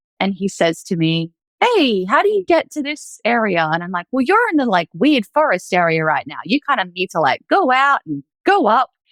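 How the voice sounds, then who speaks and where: With an Australian accent, a woman speaks at a moderate pace and a fairly high pitch, her pitch swinging very widely. The sound is dry and close, with no echo. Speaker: former reiki master sharing faith story. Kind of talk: testimony. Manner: casual, filler-heavy.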